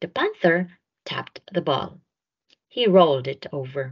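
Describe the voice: Her low voice carries vocal fry and a slightly husky edge as this woman talks at a fairly slow pace with big pitch swings.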